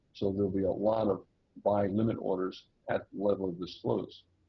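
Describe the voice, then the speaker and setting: A man speaks at a moderate pace with a fairly low pitch, a somewhat breathy quality and fairly even intonation. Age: 60s. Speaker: day trader. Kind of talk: interview with chart walkthrough.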